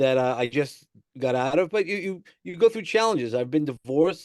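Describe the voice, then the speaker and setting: Against a quiet background, a man with a New York accent speaks at a fairly quick pace in a fairly high pitch. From New York City (Brooklyn, Sheepshead Bay). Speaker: personal growth coach. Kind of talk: podcast interview. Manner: hesitant, many fillers and repeats.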